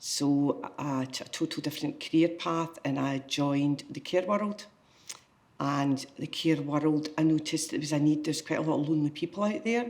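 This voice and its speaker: At a moderate pace, a woman with a west of Scotland accent speaks in a very deep, low pitch with ordinary pitch variation. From Scotland, Greenock. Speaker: volunteer, retired care worker. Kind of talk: interview testimony.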